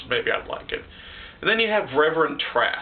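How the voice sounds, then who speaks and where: A man's voice with ordinary pitch variation against noticeable background noise. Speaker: video reviewer. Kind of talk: casual review monologue. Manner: halting, stuttering; animated.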